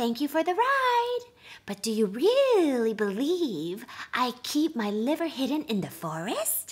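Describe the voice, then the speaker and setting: A female-sounding put-on character voice, high-pitched, at a fairly slow pace. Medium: read story. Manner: polite, humble, then mocking.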